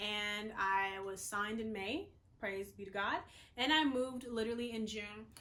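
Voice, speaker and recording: In an American accent, a woman with a fairly high pitch and a bright, sharp tone speaks at a fairly slow pace, with audible room echo around her. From the Carolinas, US South. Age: 20s. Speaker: vlogger and model. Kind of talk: casual vlog talk to camera. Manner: filler-heavy, conversational.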